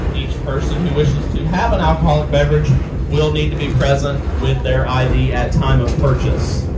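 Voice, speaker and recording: A man speaks at a moderate pace. Loud background noise is present. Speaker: train conductor. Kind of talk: PA announcement. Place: train.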